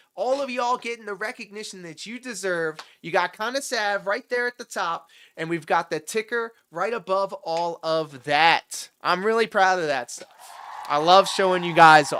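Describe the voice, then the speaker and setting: A man speaks in a high, raised, projected voice with an animated tone and big swings in loudness. The recording is very clean, with a silent background. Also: ordinary pitch variation, moderate pace. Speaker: livestream reaction host. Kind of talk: casual livestream commentary. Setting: livestream.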